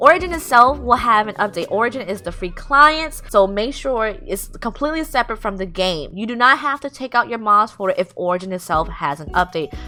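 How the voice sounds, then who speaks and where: A woman's fairly high, bright, sharp voice with an animated tone, very wide pitch swings, big swings in loudness and hardly any pauses. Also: fairly quick pace. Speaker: gaming YouTuber. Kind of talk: tutorial. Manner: fast.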